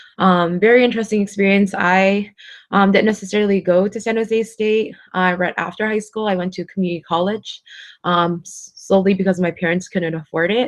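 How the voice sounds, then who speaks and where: Against a quiet background, the speaker uses an American accent, with fairly even intonation at a fairly quick pace. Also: woman, medium pitch for a woman. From Concord, California, US. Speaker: student affairs professional and educator. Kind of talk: presentation talk. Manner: many filler ums.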